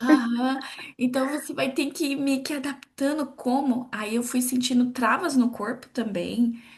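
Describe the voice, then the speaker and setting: Soft-spoken and fairly slow, a woman talks with a high pitch and fairly even intonation. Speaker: podcast co-host. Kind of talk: casual chat.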